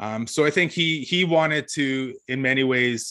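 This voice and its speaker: Here is a plain, everyday voice. A man at medium pitch speaks fairly slowly with ordinary pitch variation over a quiet background. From Ontario, Canada (First Nation reserve, Georgian Bay). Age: 40s. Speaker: author and former broadcaster. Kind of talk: casual interview.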